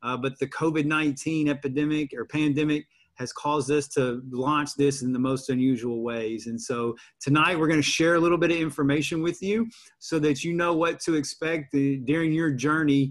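A man at a moderate pace, with ordinary pitch variation, over a quiet background. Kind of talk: formal welcome address. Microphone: video call.

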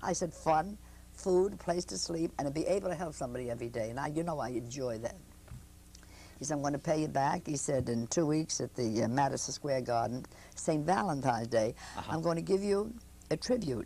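Speaking at a fairly quick pace, a woman with a very deep, low pitch, vocal fry and lively intonation comes through a dry sound with no echo over light background noise. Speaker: comic. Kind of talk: interview answer. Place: studio.

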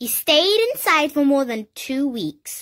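Over a quiet background, a woman with a British accent speaks at a high pitch, her pitch swinging very widely. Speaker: reader. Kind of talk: children's picture book reading. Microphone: phone near.

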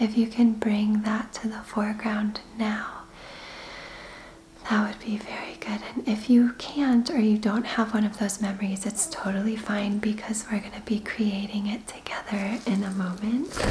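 A soft-spoken woman's fairly high voice, gentle in tone, monotone and flat in intonation, at a moderate pace over light background noise. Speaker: Reiki practitioner and meditation guide. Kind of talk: guided meditation. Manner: soft-spoken, gentle. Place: home room.

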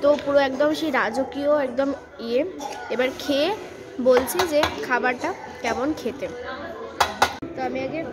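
Crowd noise sits behind a woman whose pitch varies in an ordinary way. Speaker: food vlogger. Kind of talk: casual vlog chat. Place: cafe. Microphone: phone near.

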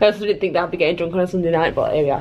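Light background noise runs beneath a woman's speech. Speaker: vlogger. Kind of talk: casual vlog chat. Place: home room. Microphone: phone near.

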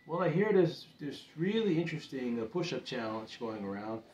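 Over light background noise and audible room echo, a man talks at a moderate pace. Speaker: home fitness vlogger. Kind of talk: casual vlog chat. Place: home room.

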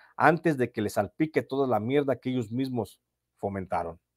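Speaking with a Mexican accent, a man has a dry, close sound with no echo. The recording is very clean, with a silent background. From Mexico, Michoacán. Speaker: journalist and channel host. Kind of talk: storytelling narration of prison chronicle.

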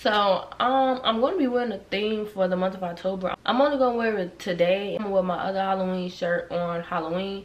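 Against noticeable background noise and audible room echo, a woman with an American accent talks at a fairly quick pace, her medium pitch varying in an ordinary way. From Chicago. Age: 20s. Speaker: YouTuber. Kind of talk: storytime vlog. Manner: casual, animated.

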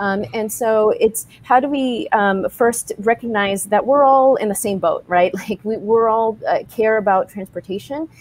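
A woman speaks at a fairly slow pace with ordinary pitch variation in a dry recording with no echo. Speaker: tech company co-founder; panelist. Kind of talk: panel discussion. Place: home room. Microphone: video call.

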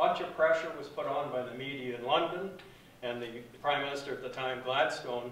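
Fairly quick speech comes from a man with fairly even intonation. There is audible room echo and light background noise. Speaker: guest. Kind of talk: interview answer. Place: hall. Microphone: camera far.

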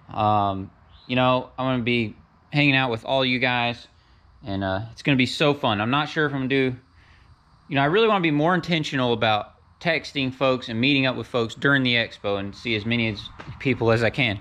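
A man with a bright, sharp tone at a fairly quick pace. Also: medium pitch for a man, ordinary pitch variation.

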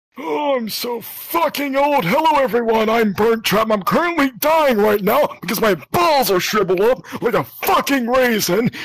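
A man at an extremely high pitch and a moderate pace. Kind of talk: comic overacting. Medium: game stream. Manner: ranting, crude, shouting.

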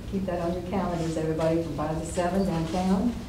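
Noticeable background noise and audible room echo surround a speaker with an American accent talking at a fairly quick pace. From Tennessee. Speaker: mayor chairing city council. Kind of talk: council meeting. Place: meeting room. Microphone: camera far.

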